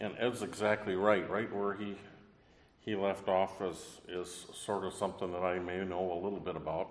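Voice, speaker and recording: A fairly low-pitched man's voice in monotone, flat intonation, with noticeable background noise and audible room echo. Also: moderate pace. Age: 60s. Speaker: professor. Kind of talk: panel talk. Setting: convention stage with audience.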